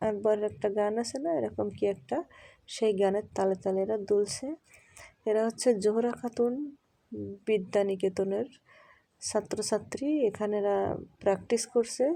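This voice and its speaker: This woman's voice sits in the middle range, and her pitch moves in a normal way. The recording is very clean, with a silent background. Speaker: vlogger. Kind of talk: walking vlog narration. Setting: outdoors. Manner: stumbling over words; casual, chatty.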